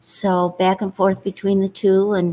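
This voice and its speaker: The speaker is a woman in a Michigan accent. Her pitch is medium. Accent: Upper Midwest US (Michigan). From Upper Peninsula of Michigan. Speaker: host's mother, interview guest. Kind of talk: casual interview, life story. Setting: seated at host's laptop.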